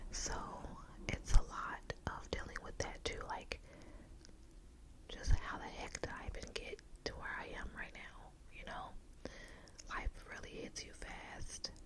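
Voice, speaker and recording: Long pauses come often as the speaker whispers at a fairly slow pace, with noticeable noise in the background. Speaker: ASMR creator. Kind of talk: ASMR whisper ramble. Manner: whispered.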